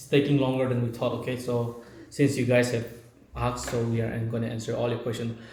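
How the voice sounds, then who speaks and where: In an Indian accent, a man of medium pitch speaks amid noticeable background noise and audible room echo. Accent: non-native English, Indian. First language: Naga language. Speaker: video blogger. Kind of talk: casual Q&A chat. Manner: halting.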